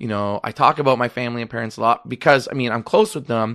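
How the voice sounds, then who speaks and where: A man with a Canadian accent, medium pitch and fairly even intonation, against a quiet background. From Canada, Toronto (Rexdale). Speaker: chef and restaurateur. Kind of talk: casual interview. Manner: fast, talks over others.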